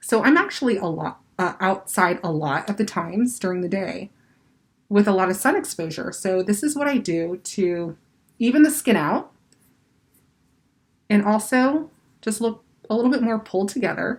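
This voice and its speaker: A woman talks at a moderate pace and medium pitch, somewhat breathy, with lively intonation. Her pauses are long and frequent. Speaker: makeup artist and cosmetics brand owner. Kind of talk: tutorial. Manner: casual, many fillers.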